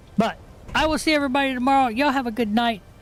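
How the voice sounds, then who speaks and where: A man talks at a very fast pace with music in the background. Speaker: gaming streamer. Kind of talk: casual stream sign-off. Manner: relaxed, filler-heavy.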